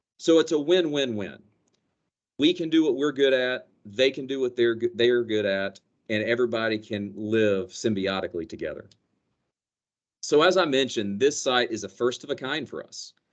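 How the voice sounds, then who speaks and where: At a moderate pace, a man with a slight Southern US accent speaks with lively intonation. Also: medium pitch for a man. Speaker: company energy director. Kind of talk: business presentation.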